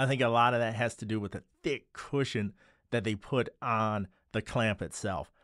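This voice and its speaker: Against a quiet background, a man speaks with an ordinary speaking voice. His fairly low pitch stays in fairly even intonation. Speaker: tech reviewer. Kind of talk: product review commentary. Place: studio. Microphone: studio mic.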